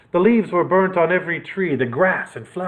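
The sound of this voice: A reading voice, unforced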